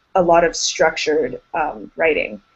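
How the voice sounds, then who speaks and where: A normal speaking voice from a woman with an American accent, medium in pitch, at a moderate pace. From United States. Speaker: grad school applicant. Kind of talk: group discussion.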